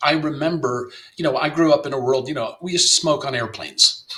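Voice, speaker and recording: A man with an American accent talks at a fairly quick clip in a fairly high pitch, his bright, sharp tone carried on a fairly even intonation. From US South, Miami, Florida. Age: 60s. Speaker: playwright and novelist. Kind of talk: interview conversation. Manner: halting, many fillers and repetitions.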